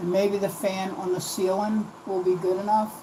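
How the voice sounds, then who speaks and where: A woman with an American accent speaks with fairly even intonation. Noticeable background noise and audible room echo are present. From US, East Coast Virginia. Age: 50s. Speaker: craft livestreamer. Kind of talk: live craft stream chat. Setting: livestream from home. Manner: casual, chatty. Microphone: new laptop, audio trouble.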